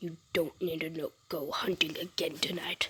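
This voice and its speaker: This is a put-on character voice with a growling sound. It sits at a middle pitch and moves at a moderate pace. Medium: read story. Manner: growling, menacing.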